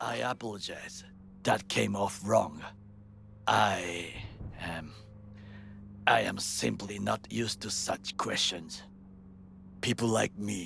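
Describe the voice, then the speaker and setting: A man in a put-on character voice, fairly low in pitch, goes at a fairly slow pace with long, frequent pauses against clear background noise. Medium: video game. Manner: formal, clipped.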